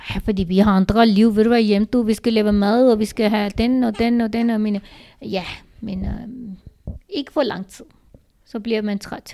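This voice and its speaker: A woman with a fairly high pitch and a dark, mellow tone talks at a moderate pace in a monotone, flat intonation, her loudness swinging greatly. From Pakistan. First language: Urdu/Punjabi (speaking Danish). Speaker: host's mother. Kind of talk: casual chat. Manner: halting.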